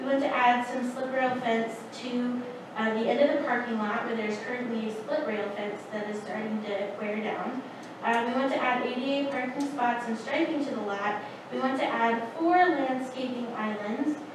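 Amid noticeable background noise and strong room echo, a woman with a high pitch speaks at a moderate pace. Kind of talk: presentation to board. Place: meeting room. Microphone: camera far.

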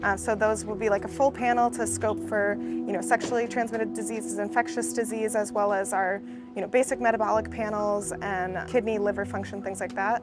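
With hardly any pauses, a woman talks at a fairly quick pace. Clear music plays behind her, and the sound is dry with no echo. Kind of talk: interview answer. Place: street.

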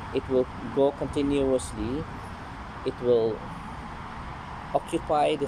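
A man speaks at a very slow pace with ordinary pitch variation against noticeable background noise. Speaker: home gardener vlogger. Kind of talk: casual vlog chat. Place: garden. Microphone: phone near.

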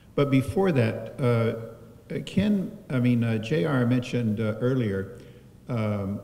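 The voice has a dark, mellow tone, is somewhat breathy, and shows ordinary pitch variation. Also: man. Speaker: speaker. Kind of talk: eulogy remarks to a congregation. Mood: warm, lightly humorous, emotional. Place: church.

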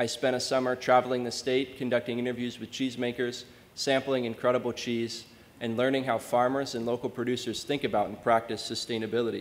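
A man with an American accent speaking very fast in a flat monotone. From Maine, US. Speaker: undergraduate scholarship student; speaker. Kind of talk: prepared introduction speech. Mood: warm, grateful. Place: hall.

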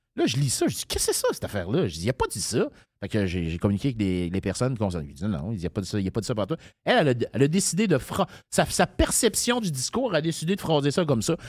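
In a very clean recording with a silent background, a man of medium pitch talks very fast with vocal fry and very wide pitch swings. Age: 50s. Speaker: political candidate. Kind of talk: interview. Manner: casual.

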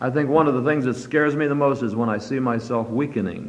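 Speaking at a fairly quick pace, a man with a medium pitch shows ordinary pitch variation. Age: 50s. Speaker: preacher. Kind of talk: sermon. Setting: church. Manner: fervent, exhortative. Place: church.

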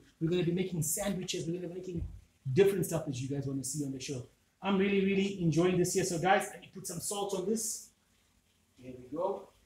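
A man's high-pitched, very fast speech with ordinary pitch variation, big swings in loudness and audible room echo. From Zimbabwe. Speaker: cooking channel host. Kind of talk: casual cooking tutorial. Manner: animated.

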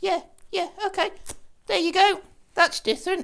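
A cartoonish character voice with an extremely high pitch at a moderate pace. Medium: puppet.

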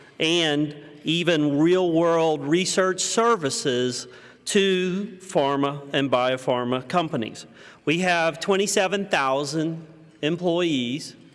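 Audible room echo surrounds a man speaking at a very slow pace with a fairly high pitch. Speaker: pharmaceutical company executive. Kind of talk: keynote speech. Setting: conference stage with audience.

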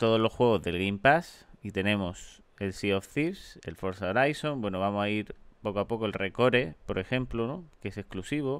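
A man speaks at a moderate pace and a fairly low pitch, with hardly any pauses. It is an ordinary speaking voice with ordinary pitch variation. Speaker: gaming youtuber. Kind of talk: casual gaming commentary.

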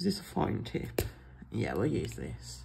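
Very slow speech from a woman, audible room echo around it. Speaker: planner YouTuber. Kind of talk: casual plan-with-me chat. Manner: casual, chatty.

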